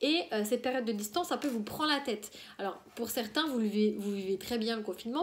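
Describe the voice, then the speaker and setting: Against noticeable background noise, a woman talks very fast in a fairly high voice. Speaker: tarot card reader. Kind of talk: tarot reading video. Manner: hesitant, many fillers.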